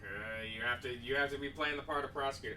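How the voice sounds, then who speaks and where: Putting on a character voice, a man with a medium pitch races at a very fast pace over clear background noise. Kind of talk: courtroom speech. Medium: actual play. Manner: formal, measured.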